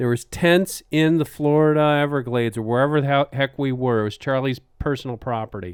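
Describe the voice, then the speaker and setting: A man with a Wisconsin accent talks at a moderate pace in a medium pitch with ordinary pitch variation. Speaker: podcast host. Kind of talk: casual chat.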